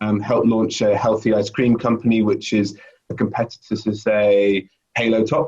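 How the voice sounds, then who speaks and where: The speaker has a British accent and talks at a moderate pace with very even loudness and monotone, flat intonation. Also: man, fairly low pitch for a man. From UK. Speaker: sales director. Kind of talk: interview. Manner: hesitant, many fillers.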